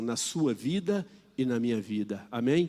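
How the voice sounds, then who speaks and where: A man's medium-pitched voice at a very slow pace. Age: 60s. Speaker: preacher. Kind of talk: sermon.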